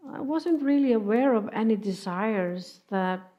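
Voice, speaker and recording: At a very slow pace, a woman talks. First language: not English. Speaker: preacher. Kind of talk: sermon. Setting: church. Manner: halting.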